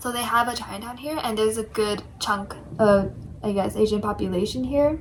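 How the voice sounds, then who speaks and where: Noticeable background noise sits behind a woman speaking fairly slowly in an American accent. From New York City. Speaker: study abroad student. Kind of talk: casual chat.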